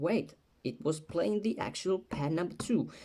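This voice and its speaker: A man talks at a fairly slow pace with a non-native accent. His intonation is lively. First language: not English. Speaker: music production tutorial maker. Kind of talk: tutorial; casual tutorial. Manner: casual, with fillers and repetitions. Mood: playful, joking. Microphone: phone near.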